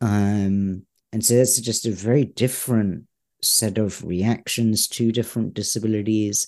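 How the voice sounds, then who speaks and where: A man talks at a fairly slow pace in a fairly low pitch. His intonation is monotone and flat. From England. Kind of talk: interview. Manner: halting, many fillers.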